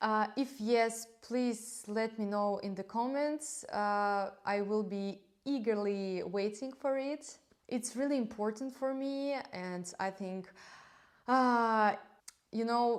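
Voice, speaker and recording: Speaking very slowly with a non-native accent, a woman uses a fairly high pitch and ordinary pitch variation. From Belarus. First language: Russian. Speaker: knitting vlogger. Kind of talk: casual monologue to camera. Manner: halting, with frequent fillers.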